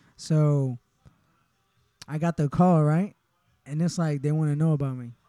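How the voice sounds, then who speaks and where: Moving at a fairly quick pace, the voice has a dark, mellow tone. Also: man. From Honduras. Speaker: barber and shop owner. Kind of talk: casual interview. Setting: barbershop.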